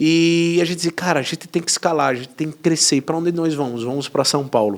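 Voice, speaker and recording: The speaker talks with a northeastern Brazilian accent and ordinary pitch variation. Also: man. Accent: northeastern Brazilian (Sergipe). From Sergipe, northeastern Brazil. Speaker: podcast host, tech company co-founder. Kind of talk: interview podcast.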